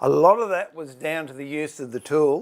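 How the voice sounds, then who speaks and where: A man speaks with an Australian accent. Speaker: woodworker and furniture maker. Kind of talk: tutorial. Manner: casual, chatty with fillers; higher pitch and louder when live.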